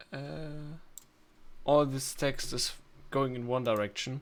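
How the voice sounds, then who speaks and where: Recorded very cleanly against a silent background, a man with a non-native accent speaks at a fairly high pitch with fairly even intonation. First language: not English. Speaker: video editing tutorial maker. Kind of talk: screen-recorded tutorial. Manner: halting, many fillers.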